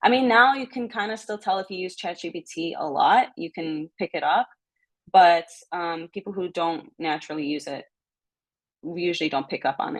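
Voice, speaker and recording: A woman's unremarkable speaking voice, fairly low in pitch, with lively intonation at a moderate pace. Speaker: workshop presenter. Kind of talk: online workshop presentation.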